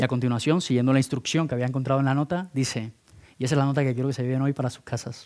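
A man talks at a very fast pace. His intonation stays fairly even against a quiet background. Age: 30s. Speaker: speaker at entrepreneurship program; conference speaker. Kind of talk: conference talk. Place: hall. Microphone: headset.

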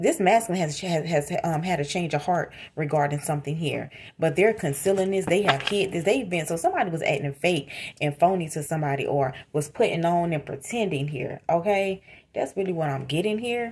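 A woman with a plain, everyday voice speaks at a fairly quick pace, her pitch fairly low with ordinary variation, over light background noise. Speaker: tarot reader. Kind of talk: tarot reading commentary. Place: home room. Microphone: phone near.

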